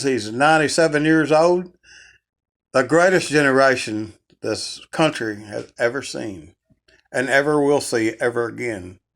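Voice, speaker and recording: In a very clean recording with a silent background, a man with a normal speaking voice talks at a fairly slow pace and a medium pitch with ordinary pitch variation. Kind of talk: casual interviewer talk.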